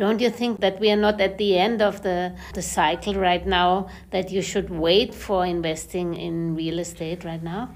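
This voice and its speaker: Fairly even intonation from a woman with a German accent, hardly any pauses throughout. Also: medium pitch for a woman, moderate pace. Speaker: podcast host. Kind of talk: interview.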